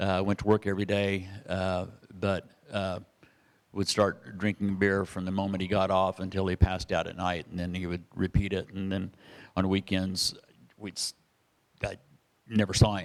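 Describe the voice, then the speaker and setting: Speaking in a very deep, low pitch with an American accent, a man sounds monotone and flat and leaves long, frequent pauses. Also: moderate pace. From Kansas (Wichita). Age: 70s. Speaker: pastor. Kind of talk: testimony. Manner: halting.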